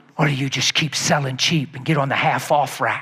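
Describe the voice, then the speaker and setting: In a put-on character voice, a man sounds raspy at a medium pitch. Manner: gentle but full of passion.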